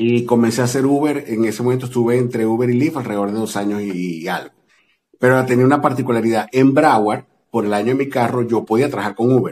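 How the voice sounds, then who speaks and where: Speaking very fast, a man uses a medium pitch and fairly even intonation. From Venezuela. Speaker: delivery driver and social media creator. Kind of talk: casual interview chat.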